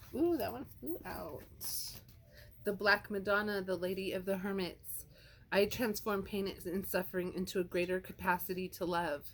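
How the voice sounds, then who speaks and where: At a moderate pace, a woman speaks with a medium pitch and ordinary pitch variation. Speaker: tarot card reader. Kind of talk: tarot card reading. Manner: loud.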